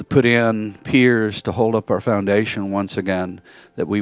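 A man's fairly low, normal speaking voice at a fairly slow pace, dry with no echo. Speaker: preacher. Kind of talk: sermon. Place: church.

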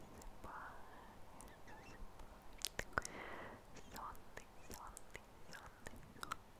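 A woman whispers, soft-spoken, at a very slow pace. Her tone is soothing. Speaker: ASMR creator. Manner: very close soft soothing whisper. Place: home room. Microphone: studio mic.

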